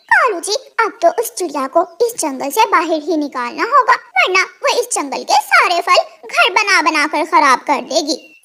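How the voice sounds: A woman uses a cartoonish character voice at an extremely high pitch. She keeps a moderate pace.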